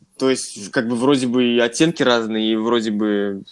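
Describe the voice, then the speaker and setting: A man has an unremarkable speaking voice, medium in pitch, with fairly even intonation. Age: 20s. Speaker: podcast co-host, music industry graduate. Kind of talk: casual chat.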